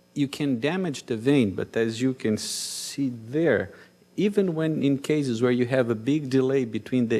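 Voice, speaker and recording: Speaking with a Brazilian Portuguese accent, a man keeps a moderate pace at medium pitch with ordinary pitch variation. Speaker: cardiologist. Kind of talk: conference talk.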